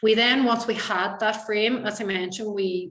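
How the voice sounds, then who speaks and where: A woman with a Donegal accent speaks at a fairly quick pace with fairly even intonation. Audible room echo and noticeable background noise come through. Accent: Donegal Irish. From Ireland, County Donegal. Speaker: university researcher. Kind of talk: conference presentation. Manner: fast.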